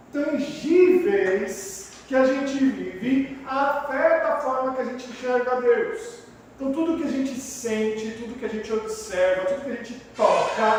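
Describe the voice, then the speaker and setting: Amid noticeable background noise and audible room echo, a man talks at a fairly slow pace in an extremely high pitch with lively intonation. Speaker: pastor. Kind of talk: sermon. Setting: small church room. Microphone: no microphone, sound not working.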